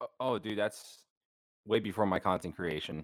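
At a moderate pace, a man is speaking. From New Orleans and Honduras. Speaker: content creator. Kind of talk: casual chat. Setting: remote call, in his room.

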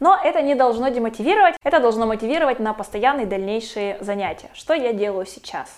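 Her voice fairly high and her intonation lively, a woman speaks at a very fast pace. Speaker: video blogger. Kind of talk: vlog monologue.

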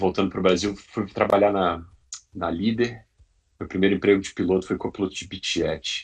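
At a fairly quick pace, a man speaks in a somewhat breathy, fairly low voice with monotone, flat intonation. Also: quiet background. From Brazil, Brasília region. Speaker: airline pilot. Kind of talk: interview.

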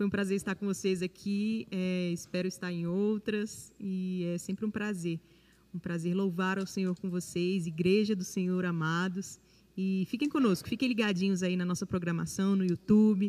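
A woman at medium pitch and a moderate pace, her tone dark and mellow. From Brasília, Brazil. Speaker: worship singer. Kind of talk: testimony.

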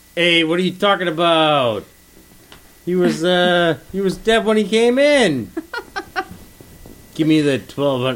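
A man puts on a gruff character voice, pitched high for a man, speaking at a fairly slow pace with lively intonation, long and frequent pauses, and very even loudness. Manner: gruff, put on.

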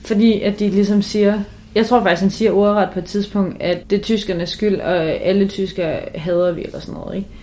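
A woman talks at a medium pitch and a moderate pace. Her intonation stays flat and monotone. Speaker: student podcast co-host. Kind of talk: casual chat.

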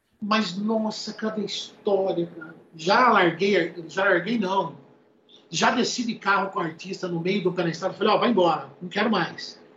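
A man's high-pitched voice at a moderate pace over noticeable background noise. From interior of São Paulo state, Brazil (Piracicaba). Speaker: music producer. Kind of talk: casual interview chat.

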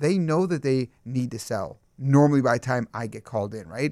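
The voice is a man's, an unremarkable speaking voice with ordinary pitch variation. The recording is very clean, with a silent background. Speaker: real estate agent. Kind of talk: casual panel discussion.

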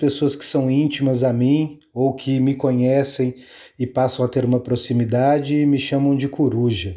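A man speaks in a dark, mellow tone. The recording is very clean with a silent background. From Minas Gerais, Brazil (small town of Caeté). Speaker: conservation institute manager. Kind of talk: interview.

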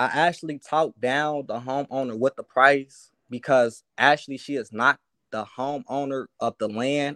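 Speaking at a moderate pace with an American accent, a man at medium pitch has a bright, sharp tone, fairly even intonation, and a dry, close sound with no echo over a quiet background. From US Midwest. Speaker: aspiring real estate wholesaler calling in. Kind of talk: casual call-in Q&A. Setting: video call.

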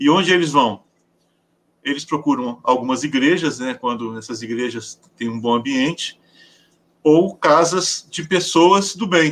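A man's fairly high voice with lively intonation, a fairly slow pace, and long, frequent pauses. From Paraná, southern Brazil. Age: 50s. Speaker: educator and writer. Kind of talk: interview.

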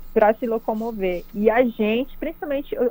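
Noticeable background noise runs behind this woman. Her pitch is fairly high, with ordinary variation. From Pará interior, Brazil (Capanema). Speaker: cyclist and online cycling promoter. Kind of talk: radio interview.

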